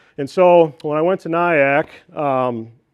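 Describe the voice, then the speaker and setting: In an Upper Midwest accent, a man speaks with fairly even intonation. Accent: Upper Midwest American. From northeast Iowa. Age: 30s. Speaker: beekeeper. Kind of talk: presentation to club meeting. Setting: club meeting room. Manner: casual with many fillers.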